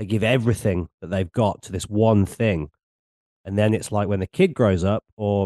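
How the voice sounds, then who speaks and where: A man's fairly low, dark, mellow voice with an English accent and fairly even intonation, dry and close with no echo, over a quiet background. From England. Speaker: podcast host and DJ. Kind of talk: casual interview chat. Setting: video call.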